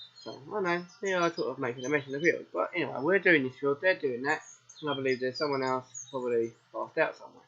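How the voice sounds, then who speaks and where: Over noticeable background noise, a man with a southern English accent talks very fast at a fairly high pitch with ordinary pitch variation. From southern England. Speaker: gaming streamer. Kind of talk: live game commentary. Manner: casual.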